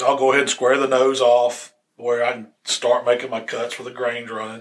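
Talking at a fairly quick pace, a man speaks at a medium pitch with a Southern US accent. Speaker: barbecue podcast host. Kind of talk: casual chat. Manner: fast.

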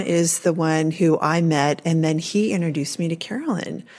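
A woman with a plain, everyday voice speaks at a fairly slow pace and a fairly low pitch. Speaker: podcast host and grief educator. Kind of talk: interview conversation.

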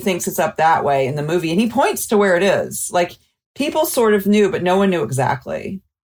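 This woman has an ordinary speaking voice, a medium pitch and an American accent. She talks at a fairly quick pace with lively intonation. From US South, Mobile, Alabama. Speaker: documentary filmmaker. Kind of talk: interview.

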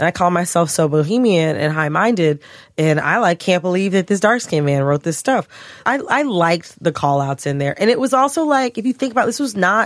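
At a fairly quick pace, the speaker uses an American accent with very wide pitch swings, in a very clean recording with a silent background. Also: woman, medium pitch for a woman. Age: 30s. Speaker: podcast co-host. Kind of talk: casual chat. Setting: studio.

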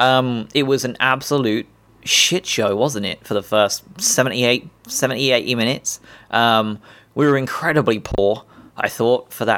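A man with an English accent speaks at a medium pitch with ordinary pitch variation on a very clean recording with a silent background. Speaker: football fan podcaster. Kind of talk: casual monologue. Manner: hesitant, many ums.

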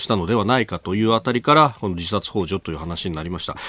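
A man speaks with ordinary pitch variation. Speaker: radio news show host. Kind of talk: live morning radio news talk.

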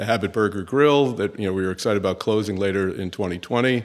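A man talks with an American accent at a fairly low pitch. His intonation stays fairly even. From US Northeast, New York City. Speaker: chief executive of a fast food company. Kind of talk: interview.

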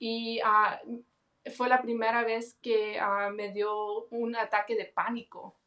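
Very slowly, a woman speaks in a bright, sharp tone at a fairly high pitch with monotone, flat intonation. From Los Angeles, California. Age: 20s. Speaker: guest sharing personal testimony. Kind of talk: testimony.

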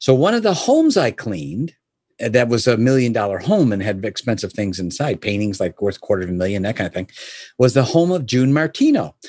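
With an American accent, a man talks at a fairly quick pace in an animated tone, his pitch swinging very widely, captured dry and close with no echo against a quiet background. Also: medium pitch for a man. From US Midwest, Chicago area. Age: 60s. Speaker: entrepreneur and business consultant. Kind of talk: interview conversation. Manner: animated, hesitant with fillers.

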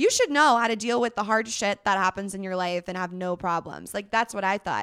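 A woman speaks in a plain, everyday voice at medium pitch with ordinary pitch variation. The sound is dry and close with no echo, and the recording is very clean over a silent background. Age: 20s. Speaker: mental health advocate and influencer. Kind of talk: casual chat.

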